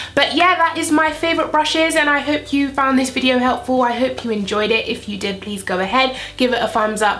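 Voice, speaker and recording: With an English accent, a woman speaks at a moderate pace and high pitch with very wide pitch swings, amid noticeable background noise and audible room echo. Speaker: beauty youtuber. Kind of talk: makeup tutorial. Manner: animated.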